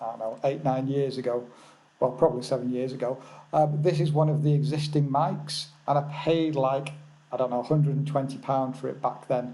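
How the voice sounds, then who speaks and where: A man with an English accent and a fairly high pitch talks at a fairly quick pace in a somewhat breathy voice with monotone, flat intonation. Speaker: forex trading educator. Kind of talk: live webinar. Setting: remote lodge, webinar. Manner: soft-spoken. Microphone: seven-year-old original mic, replaced a worse one.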